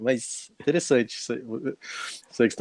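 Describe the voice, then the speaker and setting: A man in a São Paulo accent, medium pitch with ordinary pitch variation and a dark, mellow tone, in a dry, close sound with no echo. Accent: São Paulo (paulistano). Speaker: speaker on temperaments. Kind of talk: casual interview.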